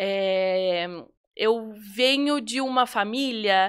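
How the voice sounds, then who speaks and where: With ordinary pitch variation and a fairly high pitch, a woman's voice is heard in a very clean recording with a silent background. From Brazil, São Paulo state (Atibaia). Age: 20s. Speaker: entrepreneur, confectioner. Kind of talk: podcast interview.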